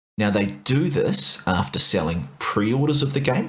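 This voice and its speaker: A man with a New Zealand accent speaks with very wide pitch swings. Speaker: podcast co-host. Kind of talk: casual discussion podcast. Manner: mellow.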